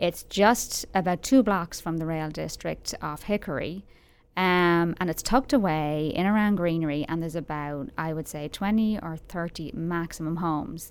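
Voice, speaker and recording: A woman with an Irish accent speaks at a moderate pace with ordinary pitch variation. The recording is very clean, with a silent background. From Ireland, Dublin. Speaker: local magazine writer. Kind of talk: casual interview.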